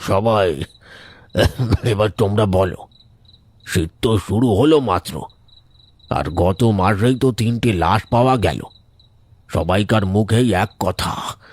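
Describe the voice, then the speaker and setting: Using a cartoonish character voice, a man speaks fairly slowly at a fairly low pitch with very even loudness. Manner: earnest, commanding.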